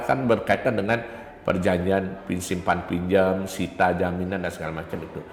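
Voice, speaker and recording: Over audible room echo, a man with a very deep, low pitch speaks at a fairly quick pace. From Bali, Pupuan, Tabanan. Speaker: university lecturer. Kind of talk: interview.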